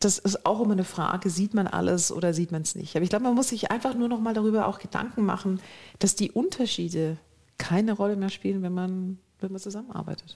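Speaking at a very fast pace, a woman has a medium-pitched, dark, mellow, somewhat breathy tone with fairly even intonation, on a very clean recording with a silent background. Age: 50s. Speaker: business executive. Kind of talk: interview.

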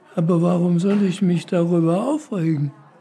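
A man's high-pitched voice amid noticeable background noise. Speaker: care home resident. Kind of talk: interview.

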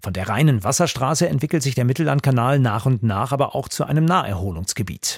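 Here a man speaks at medium pitch with lively intonation. His voice is somewhat breathy. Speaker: radio narrator. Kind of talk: scripted radio history narration. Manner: measured, formal.

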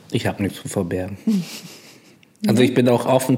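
Noticeable background noise runs beneath a man as he talks. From Bremerhaven, northern Germany. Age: 30s. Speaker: container port driver. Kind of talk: casual conversation. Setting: separate rooms, connected via headphones.

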